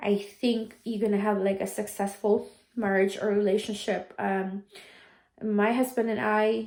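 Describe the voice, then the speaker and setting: With a Filipino accent, a woman speaks at a medium pitch and a moderate pace in a monotone, flat intonation. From Philippines. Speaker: vlogger, nurse. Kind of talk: casual storytelling vlog. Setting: at home doing chores. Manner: hesitant, many fillers.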